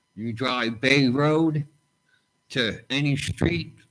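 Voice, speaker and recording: A loud male voice. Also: very clean recording, silent background. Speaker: public commenter at town meeting. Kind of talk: public comment. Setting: town hall meeting. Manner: pauses for breath, gets louder.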